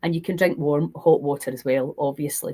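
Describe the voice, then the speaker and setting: A woman's dark, mellow, somewhat breathy voice carries a Scottish accent. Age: 60s. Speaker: health and fasting coach. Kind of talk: live stream Q&A. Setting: live stream.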